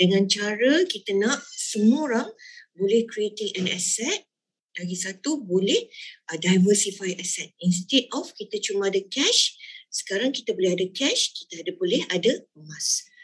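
Against a quiet background, a woman speaks fairly slowly at a medium pitch, somewhat breathy, with lively intonation. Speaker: business founder and sales leader; sales leader. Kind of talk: sales presentation. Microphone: video call.

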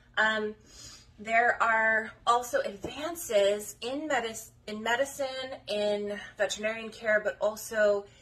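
A woman speaks in a bright, sharp tone with fairly even intonation. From rural Colorado. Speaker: dog breeder. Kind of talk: casual vlog talk to camera. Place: home room. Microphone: phone near.

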